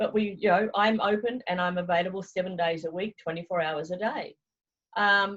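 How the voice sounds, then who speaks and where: A woman talks with a New Zealand accent. Her voice is somewhat breathy. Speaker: travel consultant. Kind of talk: interview. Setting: video call.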